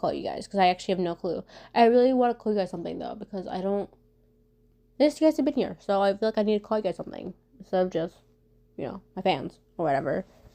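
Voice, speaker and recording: A woman talks at a very fast pace with lively intonation. Her medium-pitched voice has a dark, mellow tone. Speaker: fan content creator. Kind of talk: Q&A video monologue. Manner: stuttering, halting.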